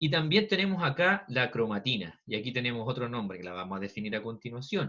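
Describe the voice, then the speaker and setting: With a bright, sharp tone and very wide pitch swings, a man talks at a fairly quick pace. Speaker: biology teacher. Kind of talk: online lecture. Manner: fast.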